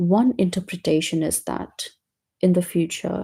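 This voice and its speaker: Somewhat breathy and dark, mellow in tone, the voice moves at a very slow pace in a very clean recording with a silent background. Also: woman. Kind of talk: casual book discussion.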